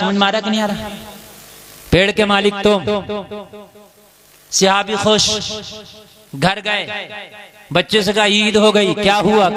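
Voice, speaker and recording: A man's high-pitched, passionate voice with monotone, flat intonation over noticeable background noise. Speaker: Islamic scholar, preacher. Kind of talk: Islamic sermon (bayan) to a live audience. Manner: passionate, oratorical, call-and-response with audience.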